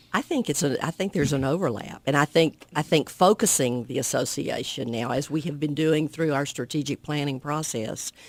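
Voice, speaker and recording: A woman with a Southern US accent talks at a fairly quick pace with hardly any pauses, her very deep, low pitch moving with ordinary variation. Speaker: alumni association president. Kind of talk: radio interview. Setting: radio studio.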